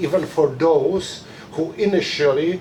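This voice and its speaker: In a Polish accent, the speaker goes at a fairly slow pace amid noticeable background noise and audible room echo. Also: man. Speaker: publicist, conference speaker. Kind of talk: reading aloud a prepared conference talk. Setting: conference room with audience. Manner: halting, many fillers.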